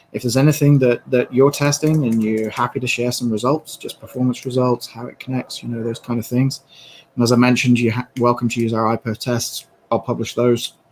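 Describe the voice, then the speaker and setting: A man with a medium-pitched voice talks at a fairly quick pace in a monotone, flat intonation. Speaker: tech engineer presenter. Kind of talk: webinar Q&A. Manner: hesitant with fillers.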